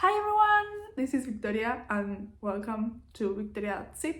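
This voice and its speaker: In a Spanish accent, a woman talks with a somewhat breathy, fairly high voice over audible room echo. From Uruguay. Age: 20s. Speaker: craft vlogger. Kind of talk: casual vlog monologue.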